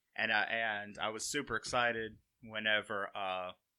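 This man has a fairly low pitch and a bright, sharp tone, speaking with an Alabama accent. The recording is very clean, with a silent background. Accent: US Southern (Alabama). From Alabama (Walker County area). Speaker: college sports equipment manager. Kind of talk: casual interview chat.

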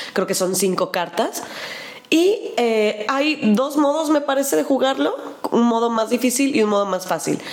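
In a Mexican accent, a woman talks at a fairly slow pace with a high pitch, very wide pitch swings and very even loudness, over noticeable background noise. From Mexico. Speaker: board game podcast co-host. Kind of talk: casual chat. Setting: video podcast.

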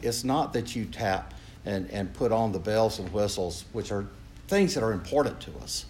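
With an American accent and lively intonation, a man talks at a moderate pace in a fairly low pitch with vocal fry. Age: 70s. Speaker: priest. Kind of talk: conference talk with audience Q&A. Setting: room with audience. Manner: joking, informal.

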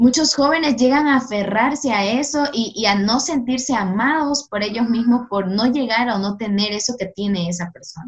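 With a coastal Ecuadorian accent, a woman talks at a fairly high pitch with hardly any pauses. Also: ordinary pitch variation, moderate pace. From Ecuador, Guayaquil (south). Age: 20s. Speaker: law student and youth ministry worker. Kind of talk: faith podcast interview and testimony.

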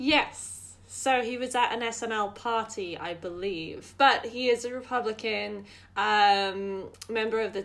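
The woman has an unremarkable speaking voice pitched fairly high. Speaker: podcast host. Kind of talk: casual chat.

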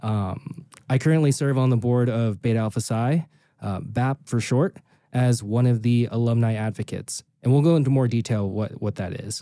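Speaking with an American accent, a man talks at a moderate pace and medium pitch in a dark, mellow tone with ordinary pitch variation, in a very clean recording with a silent background. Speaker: podcast co-host and accountant. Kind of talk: casual chat, podcast introduction. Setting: studio in Las Vegas.

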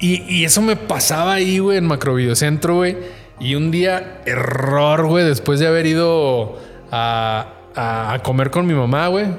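With music in the background and audible room echo, a man talks fairly slowly in a fairly high voice. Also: lively intonation. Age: 30s. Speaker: podcast co-host. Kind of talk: casual chat.

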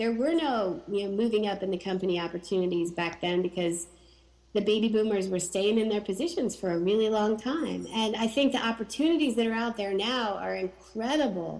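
Talking at a fairly quick pace, a woman has an ordinary speaking voice with a medium pitch and lively intonation. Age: 40s. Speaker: horticulturist and plant introducer. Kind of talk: interview. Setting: at home in dining room.

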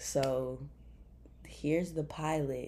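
With a Memphis accent, a woman speaks at a very deep, low pitch in a dark, mellow tone and a monotone, flat intonation. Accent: Southern US (Memphis). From Memphis, Tennessee (US South). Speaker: podcast host. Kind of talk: casual faith talk. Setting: bedroom, recording on laptop.

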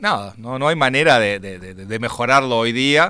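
Over a very clean recording with a silent background, a man talks with lively intonation in a bright, sharp tone. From Uruguay, Montevideo. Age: 50s. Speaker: game designer and writer. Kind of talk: interview. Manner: halting, many fillers.

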